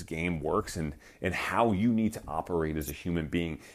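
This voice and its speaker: The recording is very clean, its background silent. A man's voice shows vocal fry. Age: 30s. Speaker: podcast host, fitness business coach. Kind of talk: casual monologue. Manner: halting, many fillers and restarts.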